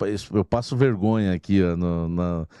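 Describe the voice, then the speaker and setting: Against a quiet background, a man's dark, mellow voice carries fairly even intonation in a dry sound with no echo. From Brazil, São Paulo state (Santo André); São Paulo state, Brazil. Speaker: sports journalist. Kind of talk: casual chat. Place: studio. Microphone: studio mic.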